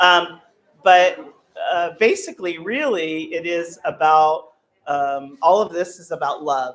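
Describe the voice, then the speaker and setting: A woman at a fairly low pitch and a very slow pace, with big swings in loudness. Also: ordinary pitch variation. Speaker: psychic medium. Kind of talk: live demonstration to an audience. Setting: room with live audience. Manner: halting, many fillers.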